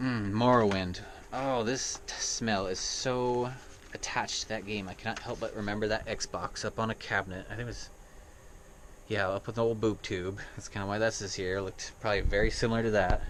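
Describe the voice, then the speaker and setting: Speaking in a normal speaking voice, a man keeps a medium pitch, a fairly quick pace and fairly even intonation. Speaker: gaming vlogger. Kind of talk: casual vlog monologue. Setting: indoors in an RV.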